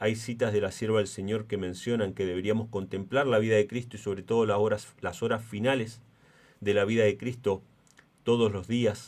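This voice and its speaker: In a monotone with flat intonation, a man with a fairly low pitch talks at a moderate pace. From Argentina. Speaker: preacher. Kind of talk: sermon. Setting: church.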